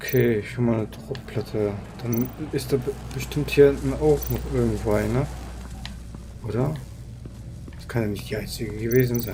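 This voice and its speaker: A man talks at a moderate pace with long, frequent pauses and big swings in loudness over noticeable background noise. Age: 20s. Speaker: gaming streamer. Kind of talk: casual live gameplay commentary.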